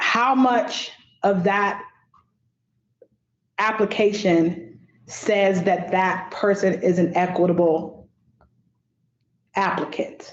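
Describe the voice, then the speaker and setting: Very slow, very evenly loud delivery from a woman at medium pitch, with ordinary pitch variation, long, frequent pauses and audible room echo. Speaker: subcommittee chair. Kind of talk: public meeting discussion. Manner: stutter.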